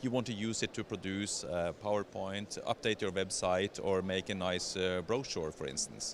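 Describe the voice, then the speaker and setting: The speaker talks at a moderate pace. They speak with a Scandinavian accent. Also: man. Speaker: software vendor representative. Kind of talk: trade show product demo. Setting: exhibition stand at trade show.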